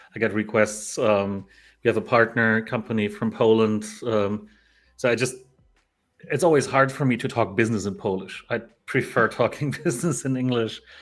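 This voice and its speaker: Music plays in the background as a man talks at a moderate pace in a medium pitch with ordinary pitch variation. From Germany. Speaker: crypto streamer. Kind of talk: casual chat. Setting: live stream.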